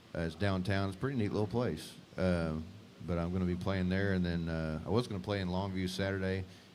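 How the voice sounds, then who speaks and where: Over audible room echo, a man with a very deep, low voice talks at a very fast pace with fairly even intonation. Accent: East Texas. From Northeast Texas (Beckville). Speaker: singer-songwriter. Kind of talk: casual chat.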